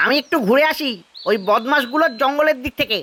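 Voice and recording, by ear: This cartoonish character voice is high-pitched and moves at a fairly quick pace.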